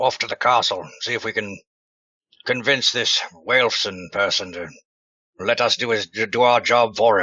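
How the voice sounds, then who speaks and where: In a raspy, put-on character voice, a man speaks with long, frequent pauses. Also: medium pitch for a man, moderate pace. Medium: actual play. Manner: jovial, clipped upper-class politeness.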